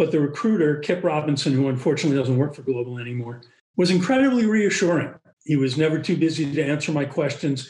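The speaker has an American accent and a somewhat breathy sound. The intonation is lively. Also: man. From US Northeast, Boston. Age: 70s. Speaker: physician, pulmonologist. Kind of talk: interview.

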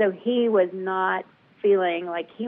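A woman's medium-pitched, a plain, everyday voice with an American accent and fairly even intonation. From US South. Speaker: patient advocate. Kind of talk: interview.

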